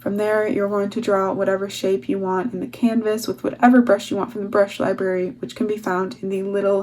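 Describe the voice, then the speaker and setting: Noticeable background noise sits under a woman speaking at a fairly quick pace, her medium pitch showing ordinary variation. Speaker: digital artist. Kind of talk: tutorial. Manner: fast.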